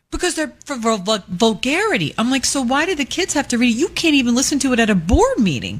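A woman talks fairly quickly in a high pitch. Her pitch swings very widely. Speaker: radio co-host. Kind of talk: casual chat. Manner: loud.

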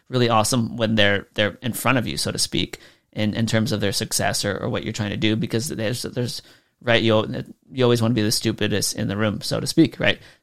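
The voice has vocal fry and ordinary pitch variation at a fairly quick pace. The recording is very clean, with a silent background. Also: man, medium pitch for a man. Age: 30s. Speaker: podcast host, online business coach. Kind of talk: casual solo podcast talk. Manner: animated.

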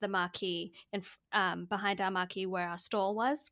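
A woman with an American accent, medium in pitch, bright and sharp in tone, fairly even in intonation, on a very clean recording with a silent background. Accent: Australian with slight American tinge. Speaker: marketing and mindset coach. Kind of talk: casual interview chat.

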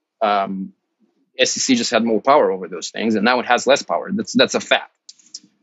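A man talks at a moderate pace in an ordinary speaking voice, with ordinary pitch variation. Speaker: crypto commentator. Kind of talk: panel debate.

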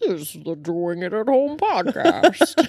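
In a put-on character voice with fairly high pitch, the speaker swings very widely in pitch while going at a fairly slow pace. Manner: menacing.

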